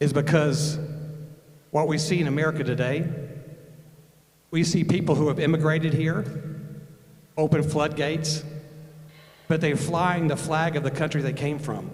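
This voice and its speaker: With long, frequent pauses, a man talks at a moderate pace in a fairly high, monotone, flat voice, amid noticeable background noise and audible room echo. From northern Alabama, Huntsville area. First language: German. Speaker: Air Force veteran and speaker. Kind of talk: speech at a rally. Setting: stage with audience, handheld mic.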